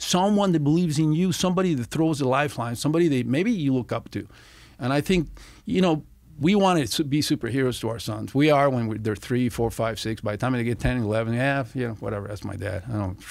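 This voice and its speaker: Talking at a very fast pace with lively intonation, a man with a Spanish accent and a medium pitch is heard on a very clean recording with a silent background. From Venezuela (Caracas). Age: 60s. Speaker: former FBI agent. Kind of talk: casual chat. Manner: animated.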